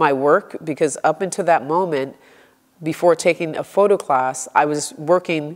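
A woman's very deep, low voice at a moderate pace, with ordinary pitch variation and a quiet background. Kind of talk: interview answer. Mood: reflective, engaged. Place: studio. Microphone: lapel.

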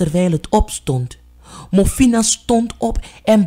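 The delivery is an unforced reading voice with lively intonation.

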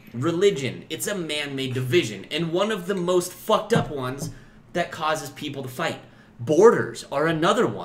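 A man talks at a moderate pace in a fairly high pitch, making big pitch swings with few pauses. Room echo is audible.

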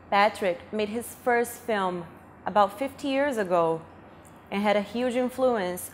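Light background noise sits behind a woman talking at a fairly slow pace with lively intonation. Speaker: interviewer, host. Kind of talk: interview answer. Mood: reflective, respectful, a bit somber. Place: office. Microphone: lapel.

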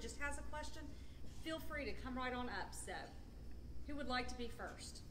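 Someone speaks at a fairly quick pace over noticeable background noise. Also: woman. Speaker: clinic representative and meeting moderator. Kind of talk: moderating a live support group meeting. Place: meeting room. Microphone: camera far.

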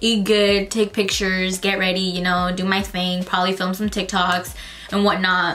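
Faint music plays behind a woman who speaks in a monotone, flat intonation at a moderate pace. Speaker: vlogger. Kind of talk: casual vlog chat. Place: home room.

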